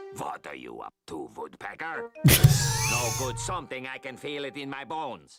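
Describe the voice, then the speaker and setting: In a put-on character voice, raspy and low-to-middle in pitch, the speaker moves at a moderate pace over faint music in the background. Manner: grumpy, suspicious.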